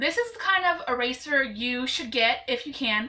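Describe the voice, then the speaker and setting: This woman has a high pitch and an American accent. Her voice is raised and projected. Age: 20s. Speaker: YouTuber, amateur artist. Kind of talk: tutorial. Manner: casual, chatty with fillers.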